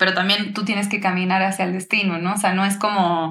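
A woman with a medium-pitched voice and a bright, sharp tone talks in a room with audible echo. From Uruguay. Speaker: singer-songwriter. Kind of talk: casual interview chat.

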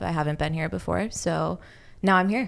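Her voice is an ordinary speaking voice, a woman's at fairly low pitch with fairly even intonation. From Los Angeles. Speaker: podcast intern and guest. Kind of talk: casual chat. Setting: studio.

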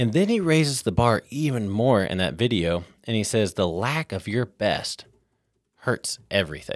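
A man speaks in a normal speaking voice at a medium pitch and moderate pace, his intonation lively. The recording is very clean, with a silent background. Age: 30s. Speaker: podcast host, ministry. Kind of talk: casual chat, faith discussion.

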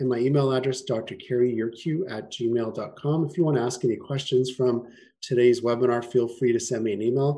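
Medium pitch from a man, dark and mellow in tone, at a moderate pace with fairly even intonation. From Canada, Winnipeg. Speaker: chiropractor. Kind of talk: webinar presentation.

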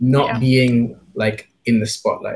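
The voice has an English accent and sounds somewhat breathy. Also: man. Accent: English-sounding. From Kenya, partly raised abroad. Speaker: musician and multidisciplinary artist. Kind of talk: casual chat.

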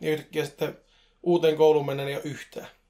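A man with a fairly high pitch, talking at a very fast pace. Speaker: podcast co-host. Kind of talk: casual chat. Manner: talkative.

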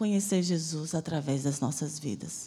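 A woman's somewhat breathy voice with a dark, mellow tone comes at a moderate pace on a very clean recording with a silent background. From Bahia, Brazil (Salvador). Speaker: missionary preacher. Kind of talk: sermon. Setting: church.

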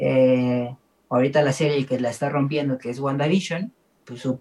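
Here a man speaks at a fairly slow pace. His medium pitch has ordinary pitch variation. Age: 30s. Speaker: film podcast host. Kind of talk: casual chat.

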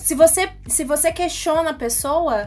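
There is noticeable background noise as a woman talks in a high pitch with ordinary pitch variation. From Brazil, Bauru (São Paulo state). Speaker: radio co-host. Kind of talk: radio talk show.

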